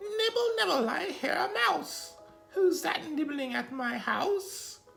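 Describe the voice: A put-on character voice, high in pitch with very wide swings, fairly slow, over clear music in the background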